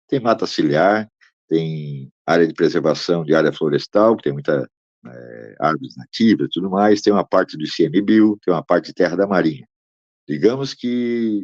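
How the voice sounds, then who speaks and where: This man talks at a moderate pace with lively intonation, fairly low pitch and big swings in loudness, in an unremarkable speaking voice. The sound is dry and close, with no echo. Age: 60s. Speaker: land rights activist. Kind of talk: interview.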